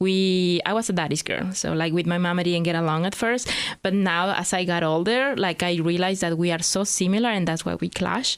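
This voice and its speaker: With a Mexican accent, a woman speaks at a fairly quick pace with hardly any pauses. Her pitch is fairly low, her intonation fairly even and her loudness very even. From Mexico, Hidalgo state. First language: Spanish. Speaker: immigrant entrepreneur. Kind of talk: podcast interview. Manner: fast.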